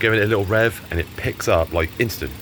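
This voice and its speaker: With noticeable background noise behind him, a man talks at a very fast pace with ordinary pitch variation. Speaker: car restoration youtuber. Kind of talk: casual vlog narration.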